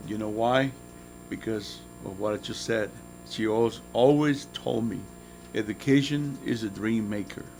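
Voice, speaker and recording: A man with a Spanish accent, medium pitch, a fairly slow pace and fairly even intonation. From Nicaragua. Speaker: motivational guest speaker. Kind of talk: motivational talk to students.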